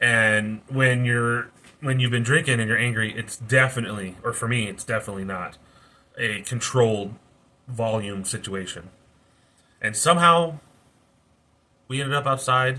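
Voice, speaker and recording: Loud and bright with a sharp tone, a man talks at a moderate pace and medium pitch with ordinary pitch variation, leaving long, frequent pauses. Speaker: youtuber sharing life story, former prisoner. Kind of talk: personal testimony monologue. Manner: halting, self-correcting.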